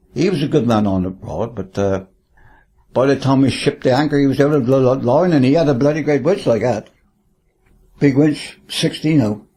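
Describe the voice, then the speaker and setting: A man with a Cornish accent, medium-pitched and dark, mellow in tone, lively intonation at a fairly quick pace against a quiet background. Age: 80s+. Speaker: retired charter fishing skipper. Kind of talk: interview reminiscence. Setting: home lounge. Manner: halting with repeated words.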